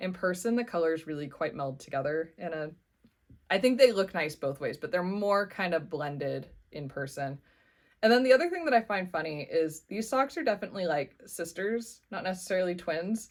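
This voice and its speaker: At a fairly quick pace, a woman speaks on a very clean recording with a silent background. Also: medium pitch for a woman, lively intonation. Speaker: knitting podcaster. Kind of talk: casual vlog update. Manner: fast.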